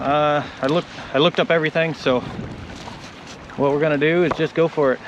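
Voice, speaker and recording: Noticeable background noise sits under a man with a fairly high pitch who speaks at a very fast pace. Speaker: solo river canoeist vlogger. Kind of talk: outdoor vlog narration. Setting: outdoors on a river in a canoe. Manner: loud, raised over wind.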